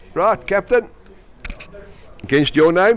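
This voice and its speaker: Speaking at a fairly slow pace, a man with a South African accent makes very wide pitch swings. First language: Afrikaans. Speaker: sports commentator. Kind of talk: live commentary. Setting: indoor swimming pool venue. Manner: animated.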